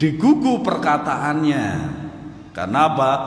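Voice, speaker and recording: A fairly high-pitched male voice amid noticeable background noise and audible room echo. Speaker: Islamic religious teacher. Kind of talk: religious lecture. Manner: loud.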